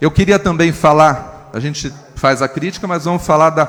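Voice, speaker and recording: This man's fairly high voice comes through noticeable background noise. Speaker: city councillor. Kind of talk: council speech.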